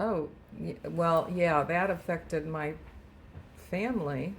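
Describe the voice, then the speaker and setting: A woman with a very deep, low voice is heard amid noticeable background noise and audible room echo. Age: 80s+. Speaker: retired home economics teacher. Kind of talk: family interview. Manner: halting.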